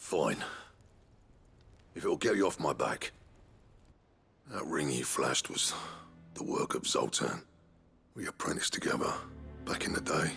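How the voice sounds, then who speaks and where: Over background music, a man puts on a raspy character voice, talking at a moderate pace with long, frequent pauses. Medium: video game. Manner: gruff, blunt.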